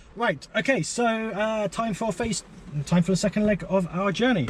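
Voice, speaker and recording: Amid noticeable background noise, a man with a high pitch talks at a fairly quick pace with ordinary pitch variation. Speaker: electric car vlogger. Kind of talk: driving vlog commentary. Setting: in a car. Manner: loud.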